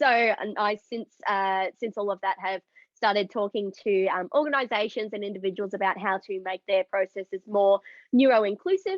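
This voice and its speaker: With an Australian accent, a woman talks at a moderate pace in a fairly high voice with ordinary pitch variation. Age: 20s. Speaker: neurodiversity advocate, event producer. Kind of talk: panel discussion.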